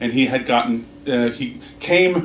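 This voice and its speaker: An American accent amid noticeable background noise and audible room echo. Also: man. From US South. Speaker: minister. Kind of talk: sermon. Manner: halting, many fillers and restarts.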